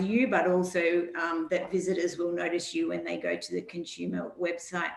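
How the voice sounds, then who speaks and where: A woman with a fairly low pitch and an Australian accent, plus audible room echo. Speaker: regional tourism organisation presenter. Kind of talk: webinar presentation. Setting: online webinar.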